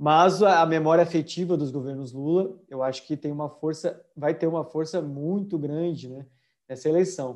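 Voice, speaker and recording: Against a quiet background, a man talks in a plain, everyday voice at a fairly high pitch. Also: fairly even intonation, moderate pace. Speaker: co-host. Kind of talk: casual political discussion. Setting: live video stream.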